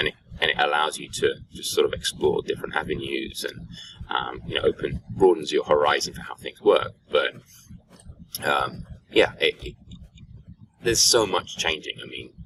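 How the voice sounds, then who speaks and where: A man with an English accent speaks at a moderate pace, leaving long, frequent pauses. His loudness swings widely over noticeable background noise. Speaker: podcast co-host, software developer. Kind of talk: casual chat. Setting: conference venue, face-to-face.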